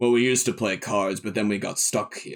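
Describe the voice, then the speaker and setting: Putting on a character voice, a man speaks raspily at medium pitch and a fairly quick pace, his intonation fairly even. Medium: actual play. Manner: polite, apologetic.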